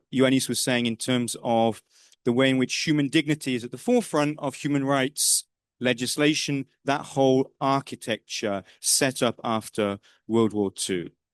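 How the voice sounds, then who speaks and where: This man, with a British accent, talks at a moderate pace and a medium pitch, with ordinary pitch variation. The sound is dry and close with no echo, over a quiet background. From northern England. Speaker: political science professor. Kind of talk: lecture. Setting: lecture room with audience. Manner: conversational.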